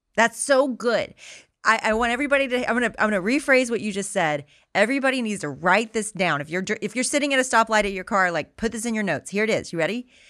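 A woman's fairly high voice at a very fast pace, bright and sharp in tone, with lively intonation. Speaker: podcast host.

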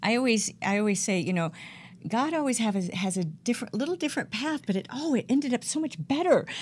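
With an American accent, a woman speaks very fast in a fairly high, somewhat breathy voice. Her pitch swings very widely. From US South, Georgia. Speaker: professional speaker and music artist. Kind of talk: interview. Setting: online radio show.

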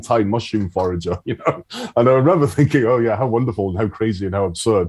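Talking at a very fast pace, a man uses a fairly low voice with ordinary pitch variation. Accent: Scottish. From Scotland, Isle of Arran. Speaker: foraging tutor. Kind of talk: interview conversation. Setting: video call.

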